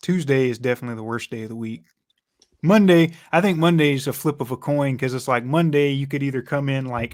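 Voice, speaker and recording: A man with a Georgia accent talks at a very fast pace with a fairly high pitch and ordinary pitch variation on a very clean recording with a silent background. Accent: Georgia Southern. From US South, Georgia. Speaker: sports podcast co-host. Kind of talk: casual chat. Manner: casual, halting.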